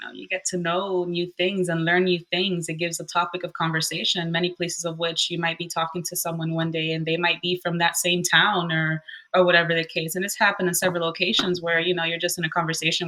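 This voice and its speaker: Over noticeable background noise, a woman with a Spanish accent talks at a very fast pace with hardly any pauses. Her fairly low pitch comes with big swings in loudness. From Southern Florida, Cuban American family. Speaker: rental host and investor. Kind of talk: podcast interview. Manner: hesitant, many fillers.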